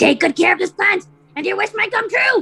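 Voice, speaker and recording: Using a put-on character voice, the speaker squeaks at an extremely high pitch and a fairly quick pace. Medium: stage play. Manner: gruff, imperious.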